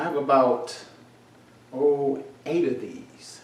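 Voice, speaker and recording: A man speaks in an animated tone. Audible room echo and noticeable background noise surround him. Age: 60s. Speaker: commentator. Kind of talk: casual chat.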